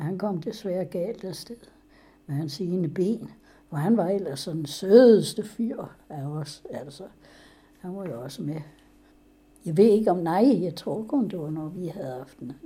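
A woman with a fairly low pitch and a dark, mellow, somewhat breathy tone uses lively intonation, big swings in loudness and long, frequent pauses. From Denmark, West Jutland (Ringkøbing). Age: 90s. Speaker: interviewee recounting her life. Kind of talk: oral history interview. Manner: halting.

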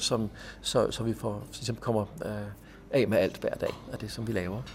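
This man speaks with a fairly low pitch. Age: 50s. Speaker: pastor and manager of a drop-in centre. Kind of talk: interview. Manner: halting, with frequent repeated words.

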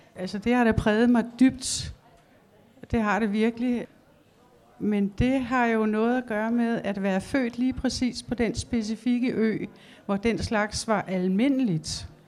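Speaking very slowly, a woman keeps a fairly high pitch and fairly even intonation. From Denmark, Fanø (southwest Jutland). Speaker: illustrator. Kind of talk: public conversation on stage. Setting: library stage with audience.

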